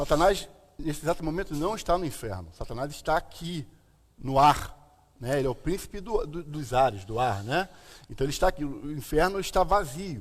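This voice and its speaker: Vocal fry runs through a man's fairly high voice as he speaks at a moderate pace with lively intonation. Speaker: pastor / bible teacher. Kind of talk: bible teaching chat.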